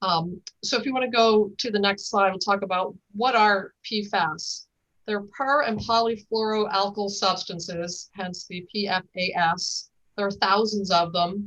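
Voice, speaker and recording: Using an unremarkable speaking voice, a woman speaks fairly slowly at a medium pitch, her intonation fairly even. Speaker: regional environmental agency director. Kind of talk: presentation at public board meeting.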